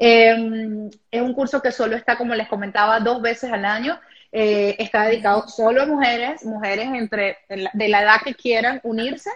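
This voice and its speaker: With an ordinary speaking voice, a woman talks at a moderate pace in a fairly high pitch, her intonation fairly even. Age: 30s. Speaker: women's habits coach. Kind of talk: live interview.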